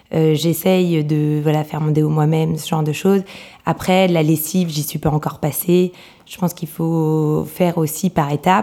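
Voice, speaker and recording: A woman with a very deep, low pitch speaks at a moderate pace in a flat, monotone way. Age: 30s. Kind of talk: interview. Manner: hesitant, many fillers.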